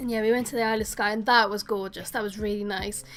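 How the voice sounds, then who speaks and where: A woman with music in the background. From Wales. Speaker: gaming streamer. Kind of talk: casual chat with live chat viewers. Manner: chatty, informal.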